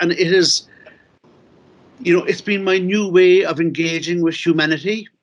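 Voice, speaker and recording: With fairly even intonation, a man keeps a moderate pace. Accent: Cork. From Ireland, Cork City. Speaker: novelist and playwright. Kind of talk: conference talk. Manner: halting.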